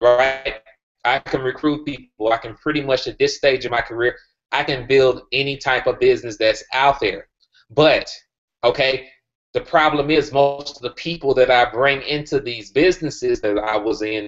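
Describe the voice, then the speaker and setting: A man talks at a moderate pace with fairly even intonation. Light background noise sits behind him. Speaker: group call host. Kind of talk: presentation to group. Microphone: video call.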